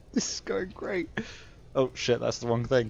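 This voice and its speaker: A man talks here. He has a British accent. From Britain. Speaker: video game streamer. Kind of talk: live gameplay stream chat. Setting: home streaming setup, camera off. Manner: mumbling; halting, many filler sounds.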